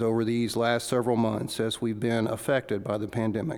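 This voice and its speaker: The speaker is a man with an unremarkable speaking voice. His pitch is medium and his pace moderate. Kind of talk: fervent congregational prayer. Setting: church service with congregation, pandemic time.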